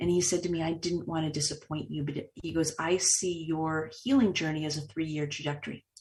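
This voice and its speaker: A woman with an American accent speaks fairly quickly and somewhat breathily, at a fairly low pitch. Her intonation is fairly even, and the background is quiet. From Boston, US Northeast. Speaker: author and speaker, trauma survivor. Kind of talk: interview testimony.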